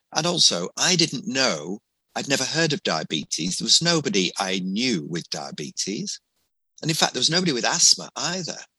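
With vocal fry and a bright, sharp tone, a man at a fairly high pitch talks at a moderate pace with very wide pitch swings, recorded dry and close with no echo against a quiet background. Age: 60s. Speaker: family doctor. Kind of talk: interview.

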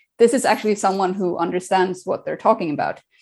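This is a woman speaking with a Swedish accent. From Sweden. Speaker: diabetes coach. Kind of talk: interview. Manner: energetic.

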